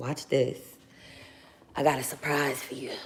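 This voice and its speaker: A put-on character voice from a man, raspy, medium in pitch, at a moderate pace. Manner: seductive, teasing.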